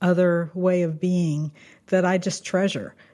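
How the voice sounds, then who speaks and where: A woman with an American accent speaks in a dark, mellow tone with monotone, flat intonation. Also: very clean recording, silent background. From southern Kansas. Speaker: food writer. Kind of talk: interview.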